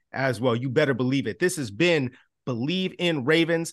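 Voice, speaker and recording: Over a quiet background, a man with an American accent and a normal speaking voice talks at a fairly quick pace and fairly high pitch, with lively intonation. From Chicago. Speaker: sports podcast host, former team reporter. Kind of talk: casual sports chat.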